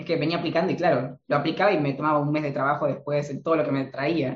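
A man talks at a very fast pace. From Argentina. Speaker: marketing consultant. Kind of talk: interview.

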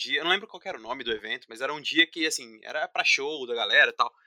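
A man speaks in a dry, close recording. There is no echo at all. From São Paulo state, Brazil (Paulínia, near Campinas). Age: 20s. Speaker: systems analyst and musician. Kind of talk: casual chat.

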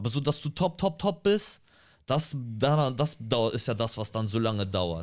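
On a very clean recording with a silent background, a man at medium pitch speaks at a moderate pace with very wide pitch swings and long, frequent pauses. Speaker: comedian and podcast co-host. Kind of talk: casual chat. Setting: studio.

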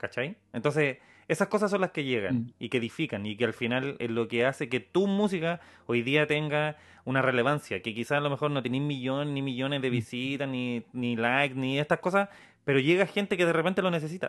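A man with a Chilean accent talks at a fairly quick pace, his fairly high pitch carrying lively intonation. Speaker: podcast host. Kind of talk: casual chat.

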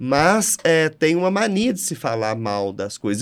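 This man's voice is high in pitch and moves in very wide pitch swings. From Brazil, Minas Gerais (Triângulo Mineiro). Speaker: state culture and tourism official, architect. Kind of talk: interview conversation. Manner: animated.

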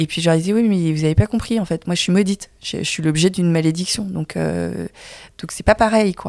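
A woman speaks at a moderate pace with a fairly low pitch and ordinary pitch variation. The sound is dry and close, with no echo. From France, Vietnamese family. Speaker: filmmaker. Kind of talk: casual chat. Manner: halting.

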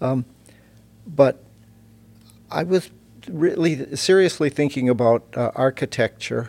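Pausing long and often, a man with an American accent speaks at a fairly slow pace in a fairly high pitch, with ordinary pitch variation. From US Midwest, Iowa. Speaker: seminary professor and Luther scholar. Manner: measured, hesitant with many fillers.

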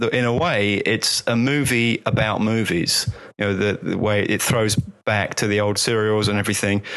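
A man with a plain, everyday voice speaks at a moderate pace in a fairly low pitch. His intonation is fairly even, and his loudness stays very even. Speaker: magazine writer on visual effects. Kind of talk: casual chat. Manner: laughs often.

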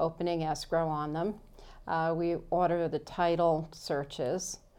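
A woman's fairly low voice with a dark, mellow tone and an American accent, over a quiet background. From New York, Long Island. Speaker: escrow officer. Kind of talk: interview.

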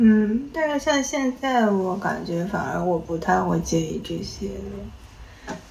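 Over noticeable background noise, a woman speaks at a very slow pace with hardly any pauses. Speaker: podcast host. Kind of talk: casual chat.

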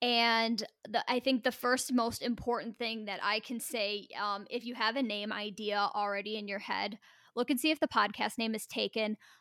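A loud woman's voice with fairly even intonation. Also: fairly high pitch for a woman, moderate pace. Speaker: podcast co-host. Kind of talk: casual chat.

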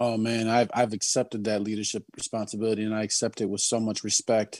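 A man talks in a normal speaking voice. The background is quiet. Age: 30s. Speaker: rapper. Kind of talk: casual chat.

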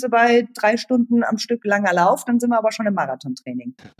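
With an unremarkable speaking voice, this woman talks at a fairly quick pace and a fairly high pitch, recorded with a dry, close sound and no echo. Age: 40s. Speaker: running coach. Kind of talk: casual chat.

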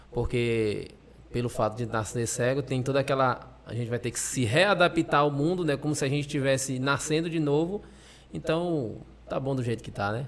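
The pace is moderate, with ordinary pitch variation. It is an ordinary speaking voice. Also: man, medium pitch for a man. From Maranhão, Brazil (Pinheiro). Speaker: Paralympic blind football player. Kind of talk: interview.

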